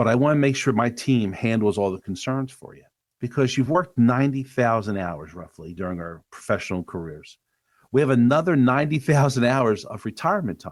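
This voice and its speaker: In a normal speaking voice, a man with an American accent talks at a fairly quick pace and medium pitch, his intonation lively and his loudness swinging widely, on a very clean recording with a silent background. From US Northeast, Delaware County, Pennsylvania. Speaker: financial advisor. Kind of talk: podcast interview.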